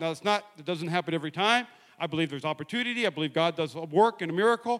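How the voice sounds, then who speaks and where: The voice is loud, with a bright, sharp tone. It sounds animated, its intonation lively. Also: man. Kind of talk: sermon with jokes and audience participation. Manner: animated, loud, fast-talking, with call-and-response and humor; fast talker.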